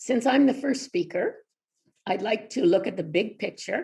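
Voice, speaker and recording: Lively intonation and vocal fry mark this woman's speech. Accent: Canadian. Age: 70s. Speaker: retired health promotion consultant. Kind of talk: presentation. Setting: pre-recorded webinar.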